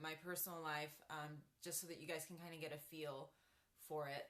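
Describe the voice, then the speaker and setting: A woman with a bright, sharp tone talks at a moderate pace. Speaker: chronic illness vlogger. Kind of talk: livestream chat. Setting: home office. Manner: casual with many fillers.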